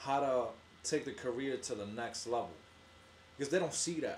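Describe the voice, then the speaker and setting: Speaking in a New York accent, a man lets his pitch vary in an ordinary way. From New York, the Bronx. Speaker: barber. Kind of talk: casual chat.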